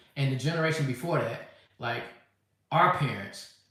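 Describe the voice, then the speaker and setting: Recorded with audible room echo, a man speaks at a medium pitch with ordinary pitch variation. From US. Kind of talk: live stream response. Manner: halting.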